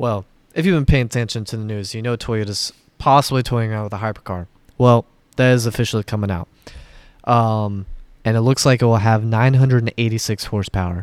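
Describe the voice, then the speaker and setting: At a fairly quick pace, a man with a normal speaking voice and medium pitch talks with fairly even intonation, in a very clean recording with a silent background and a dry, close sound with no echo. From Florida. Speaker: car podcast co-host. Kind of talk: casual chat.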